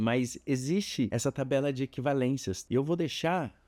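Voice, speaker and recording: A very clean recording with a silent background carries a dark, mellow tone. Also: man, dry, close sound with no echo. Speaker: photography teacher. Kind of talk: tutorial. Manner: casual.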